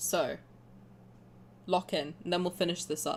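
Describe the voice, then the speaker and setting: A woman talks at a fairly quick pace with an English accent. The recording is very clean, with a silent background. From England. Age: 20s. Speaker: game streamer. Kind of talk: live stream gameplay commentary. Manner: casual, rambling with fillers.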